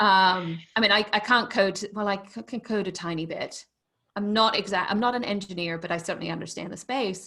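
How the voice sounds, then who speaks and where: In a very clean recording with a silent background, a woman with a British accent speaks at a fairly quick pace and medium pitch in a bright, sharp tone. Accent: proper British. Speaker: business consultant and former tech executive. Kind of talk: interview conversation. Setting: podcast interview. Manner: energetic.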